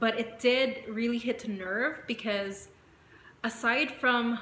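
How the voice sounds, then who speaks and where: A woman talks at a very slow pace with fairly even intonation. Noticeable background noise runs underneath. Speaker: vlogger. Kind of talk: personal vlog. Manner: conversational with many fillers.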